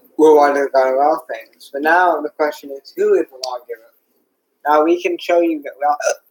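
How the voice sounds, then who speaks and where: In a dry, close recording with no echo, a man with a fairly high pitch talks at a moderate pace in a monotone, flat delivery while his loudness swings widely. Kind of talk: monologue. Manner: halting.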